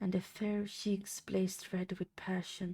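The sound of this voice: The speaker uses an unforced reading voice.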